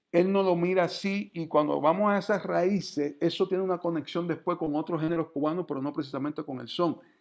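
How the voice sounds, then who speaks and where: Over a quiet background, the voice moves at a fairly quick pace with ordinary pitch variation and hardly any pauses. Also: man, high pitch for a man. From Cuba (Guantánamo); Cuba. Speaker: music professor and percussionist; music lecturer. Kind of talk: lecture. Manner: halting, with many fillers. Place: home room. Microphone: video call.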